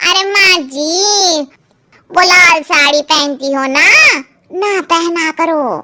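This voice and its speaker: In a cartoonish character voice, a woman speaks very slowly at an extremely high, squeaky pitch. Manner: blunt, cheeky.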